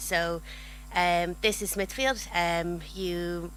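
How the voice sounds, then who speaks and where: A woman speaks with an Irish accent, and the room echo is audible. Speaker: cinema marketing manager. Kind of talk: conference presentation.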